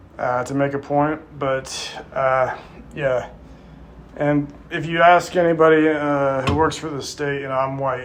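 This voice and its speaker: A man at a fairly high pitch, monotone and flat, at a fairly slow pace, with audible room echo and noticeable background noise. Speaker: YouTuber. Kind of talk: casual monologue to camera. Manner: halting, many fillers.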